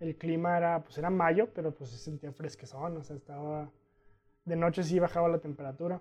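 Speaking at a fairly quick pace in a Mexican accent, a man with a fairly high pitch keeps his intonation fairly even while his loudness swings widely. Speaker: adventurer and sociology graduate. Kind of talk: casual interview.

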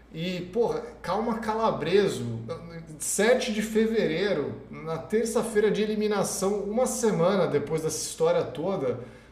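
Amid noticeable background noise and audible room echo, a man with a high pitch and lively intonation talks at a fairly slow pace. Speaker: live show commentator on reality TV. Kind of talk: casual live-stream chat. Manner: animated.

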